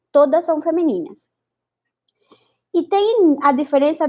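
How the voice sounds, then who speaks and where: Lively intonation in a Spanish accent, with a dark, mellow tone. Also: woman. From Spanish-speaking country. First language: Spanish (speaking Portuguese). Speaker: Spanish teacher and researcher. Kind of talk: online lesson. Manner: halting.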